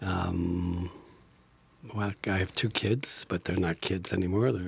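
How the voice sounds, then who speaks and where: Very slow and somewhat breathy, a man talks with a very deep, low pitch. His intonation stays fairly even and his loudness very even. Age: 70s. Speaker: improv actor and teacher. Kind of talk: podcast interview. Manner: halting, many fillers; soft-spoken.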